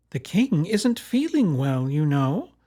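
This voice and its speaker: A man uses a put-on character voice, high in pitch with very wide swings. He goes at a fairly slow pace. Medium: read story. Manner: suspicious, proper.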